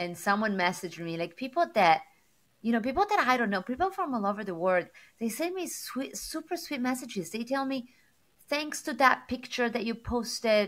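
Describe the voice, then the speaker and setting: A woman with an Italian accent speaks at a high pitch. Her pace is moderate and her pitch swings very widely. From Sardinia, Italy. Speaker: tech executive and motivational speaker. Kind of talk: interview. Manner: animated.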